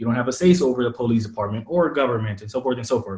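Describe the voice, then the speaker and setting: Somewhat breathy and very fast, a man with an American accent speaks at a medium pitch. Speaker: startup founder, former venture investor. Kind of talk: podcast interview. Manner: casual, many fillers.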